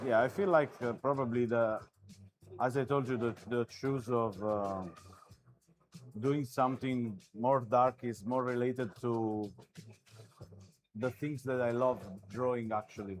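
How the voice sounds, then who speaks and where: With music playing in the background, a man speaks at medium pitch and a fairly slow pace. His intonation is fairly even, and he leaves long, frequent pauses. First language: not English. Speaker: artist. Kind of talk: live commentary while drawing. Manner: halting.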